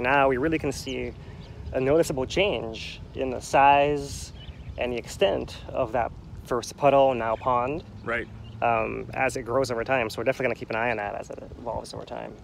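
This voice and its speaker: There is light background noise as a man talks at a moderate pace with fairly even intonation, the sound dry with no echo. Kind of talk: casual commentary. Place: plane. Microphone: headset.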